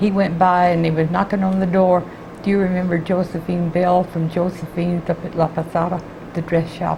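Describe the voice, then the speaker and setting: A woman with a fairly low pitch speaks in an American accent at a moderate pace, her intonation monotone and flat. Noticeable background noise is present. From Texas (Houston). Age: 80s+. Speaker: retired court clerk. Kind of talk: oral history interview.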